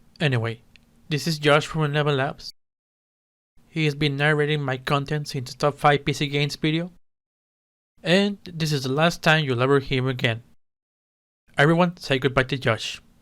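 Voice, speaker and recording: A man with a non-native accent talks at a fairly high pitch, leaving long, frequent pauses, on a very clean recording with a silent background. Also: fairly even intonation, moderate pace. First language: not English. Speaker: gaming YouTuber. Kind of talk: video commentary.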